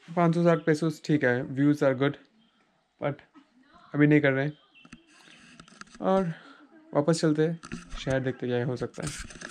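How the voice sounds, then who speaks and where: The speaker is a man. He talks at a fairly slow pace with ordinary pitch variation. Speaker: travel vlogger. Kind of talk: casual vlog chat. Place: open country. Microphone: lapel.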